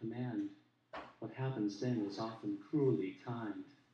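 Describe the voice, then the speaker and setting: Amid audible room echo, a man with an American accent talks fairly slowly at a medium pitch. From US Pacific Northwest, Portland Oregon. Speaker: poet. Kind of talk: poetry reading. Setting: stage with audience.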